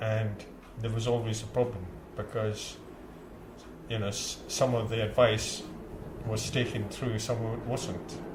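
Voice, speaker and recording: A man at medium pitch with monotone, flat intonation, a fairly slow pace, long, frequent pauses and noticeable background noise. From India. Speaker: community centre chief executive. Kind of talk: interview answer. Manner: hesitant, conversational.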